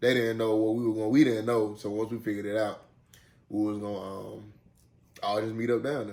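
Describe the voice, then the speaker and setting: This is a man speaking with a Southern US accent. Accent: Southern drawl. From Birmingham, Alabama. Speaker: vlogger. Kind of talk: casual chat. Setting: home, eating dinner on camera.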